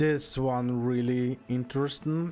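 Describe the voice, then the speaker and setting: The voice shows ordinary pitch variation, with music in the background. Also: man. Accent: non-native. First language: not English. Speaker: gaming streamer. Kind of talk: let's play commentary. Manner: halting.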